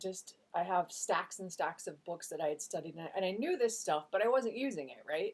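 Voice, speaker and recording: This speaker is a woman. She talks at a medium pitch. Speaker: spiritual vlogger. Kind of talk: casual monologue. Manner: fast.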